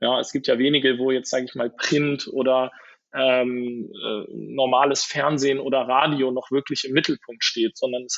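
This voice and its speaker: This is a man at a medium pitch. He keeps a moderate pace. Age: 30s. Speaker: venture capital investor. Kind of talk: interview. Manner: hesitant, many filler sounds.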